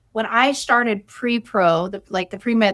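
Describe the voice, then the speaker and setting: Fairly high in pitch, a woman speaks in a bright, sharp tone with ordinary pitch variation. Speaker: chiropractor. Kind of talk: interview. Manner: loud laugh; halting.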